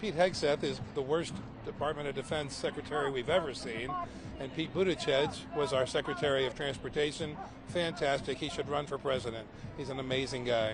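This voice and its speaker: A fairly high-pitched male voice with ordinary pitch variation amid noticeable background noise. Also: fairly quick pace. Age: 60s. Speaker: protester. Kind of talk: street interview.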